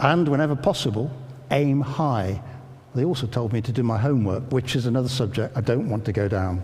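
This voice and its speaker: A man with an English Midlands accent, medium pitch and ordinary pitch variation, at a fairly quick pace and very even loudness, with audible room echo. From England, Northamptonshire. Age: 60s. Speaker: educator and former army officer. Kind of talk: public talk. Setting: church with audience.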